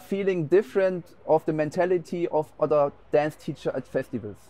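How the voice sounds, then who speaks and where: In a German accent, a man speaks at a moderate pace with a fairly high pitch, ordinary pitch variation and a dark, mellow tone. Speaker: dance teacher. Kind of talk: interview. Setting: dance festival.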